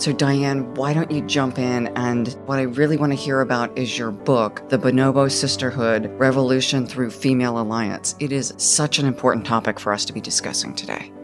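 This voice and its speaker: Clear music plays in the background as the voice goes on at a moderate pace with hardly any pauses. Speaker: podcast host. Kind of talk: interview introduction. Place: hall.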